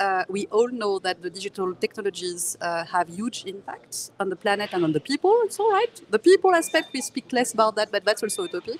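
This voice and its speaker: Delivered with a French accent at a fairly quick pace, the speech has lively intonation, hardly any pauses, and a dry, close sound with no echo. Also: woman. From France. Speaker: tech company engineer, author. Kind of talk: conference interview. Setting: live conference booth.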